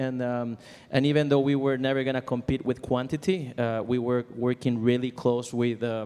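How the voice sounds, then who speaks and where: A man speaks in a strong Venezuelan accent at medium pitch. His pace is moderate and his intonation monotone and flat. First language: Spanish. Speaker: composer and music library owner. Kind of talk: conference panel talk. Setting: stage with audience. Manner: halting, many fillers.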